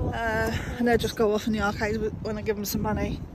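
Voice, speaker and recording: Over loud background noise, a woman speaks at a very fast pace, the sound dry with no echo. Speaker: family vlogger. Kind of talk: casual vlog chat. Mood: mildly complaining, chatty. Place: street. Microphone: phone near.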